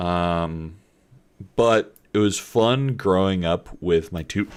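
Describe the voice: A man speaks with a slight Southern Kentucky accent. His pitch is very deep and low.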